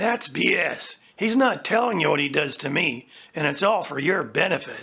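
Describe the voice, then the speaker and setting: A raspy, put-on character voice at middle pitch and a moderate pace. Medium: audio drama. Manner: pushy, demanding.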